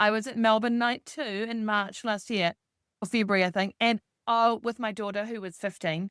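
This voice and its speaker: A woman speaks at a moderate pace in a bright, sharp tone with ordinary pitch variation. The recording is very clean, with a silent background and a dry, close sound with no echo. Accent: New Zealand. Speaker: executive coach. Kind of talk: podcast interview.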